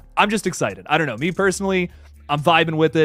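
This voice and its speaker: Very fast male speech with vocal fry, on a very clean recording with a silent background. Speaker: horror film YouTuber. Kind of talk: live stream chat.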